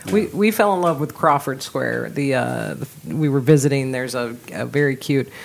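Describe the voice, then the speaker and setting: A woman's very deep, low pitch at a moderate pace, with noticeable background noise. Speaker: podcast host. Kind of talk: casual interview chat.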